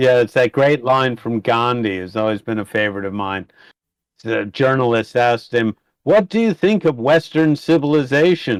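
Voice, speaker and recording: With an American accent, a man talks at a moderate pace in a normal speaking voice, medium in pitch with lively intonation, the sound dry and close with no echo against a quiet background. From United States. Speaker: housing project founder. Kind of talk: casual podcast conversation.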